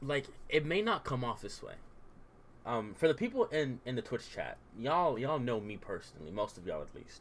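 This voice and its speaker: A man with vocal fry talks at a fairly quick pace and medium pitch, with very wide pitch swings and big swings in loudness. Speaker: Twitch streamer and YouTuber. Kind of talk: casual livestream chat. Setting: livestream. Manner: casual, halting with repetitions.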